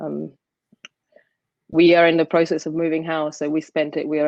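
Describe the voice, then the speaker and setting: Very deep, low-pitched woman's voice, monotone and flat, at a fairly quick pace. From Sicily, Italy. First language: Italian. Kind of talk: casual chat; talk at an online conference. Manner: hesitant, many fillers.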